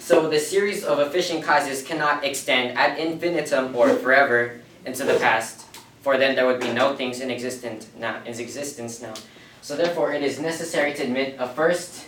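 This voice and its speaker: Room echo is audible. Background noise is noticeable too. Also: man. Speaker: lay apologist teaching a confirmation class. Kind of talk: classroom lecture. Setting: classroom. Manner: fast; casual, interactive with students.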